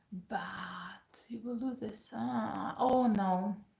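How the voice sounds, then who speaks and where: This woman has a fairly high pitch, a dark, mellow tone and a somewhat breathy quality. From Ukraine. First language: Ukrainian and Russian. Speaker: pianist and piano teacher. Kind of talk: casual live-stream Q&A.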